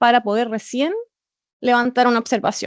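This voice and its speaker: Dry, close sound with no echo on a woman's voice. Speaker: auditor. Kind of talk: presentation. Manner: halting with repetitions and fillers.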